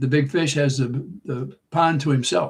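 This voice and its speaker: A man's somewhat breathy voice, fairly high in pitch. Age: 80s. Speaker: livestream host. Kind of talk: casual chat. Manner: halting.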